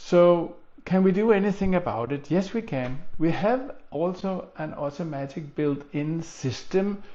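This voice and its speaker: Pitched high for a man, his voice rises and falls with lively intonation. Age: 70s. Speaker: physical therapist. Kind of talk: tutorial.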